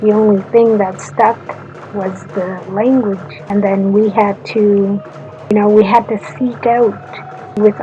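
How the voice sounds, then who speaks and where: Music plays in the background as a woman speaks at a very slow pace. Her pitch is medium, with ordinary variation. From Secwepemc (Shuswap) Nation, British Columbia, Canada. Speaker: university student. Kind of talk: personal talk for a class assignment.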